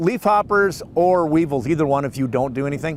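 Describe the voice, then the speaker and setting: Lively intonation runs through a man's plain, everyday voice. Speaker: dairy farmer. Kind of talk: interview answer.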